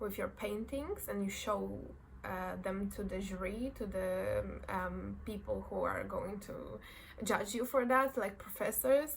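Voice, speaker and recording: A woman speaks very slowly with a Polish accent. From Poland. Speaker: fashion design graduate. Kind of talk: casual talk to camera. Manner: nervous, hesitant.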